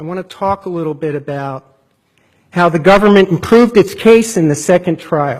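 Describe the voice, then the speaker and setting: A man's high-pitched voice in a very clean recording with a silent background. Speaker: federal defender attorney. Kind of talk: appellate court oral argument.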